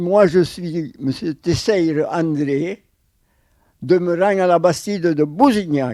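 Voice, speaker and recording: Speaking at a very slow pace, a man with a high pitch and a dark, mellow tone uses ordinary pitch variation. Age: 80s+. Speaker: former factory worker. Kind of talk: interview.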